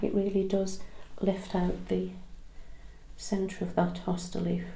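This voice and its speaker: A soft-spoken woman at a medium pitch, with audible room echo. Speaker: craft tutorial maker. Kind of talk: tutorial.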